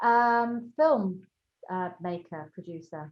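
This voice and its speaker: A woman with a London accent speaks with ordinary pitch variation. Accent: southern English, London, educated. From London, England. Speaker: entrepreneur. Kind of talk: interview.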